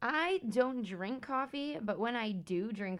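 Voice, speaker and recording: Speaking at a fairly slow pace, a woman uses an ordinary speaking voice. Her intonation is lively. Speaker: podcast co-host. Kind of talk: casual chat.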